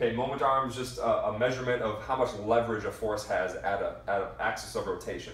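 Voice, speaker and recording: A man speaks at a moderate pace. Audible room echo can be heard. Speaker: strength coach. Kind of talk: lecture. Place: empty room. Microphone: camera far.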